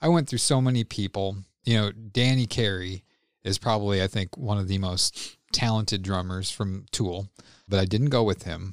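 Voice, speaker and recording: A man with an American accent and a normal speaking voice, fairly low in pitch, at a moderate pace, dry and close with no echo, on a very clean recording with a silent background. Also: ordinary pitch variation. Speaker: podcast host. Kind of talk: casual banter.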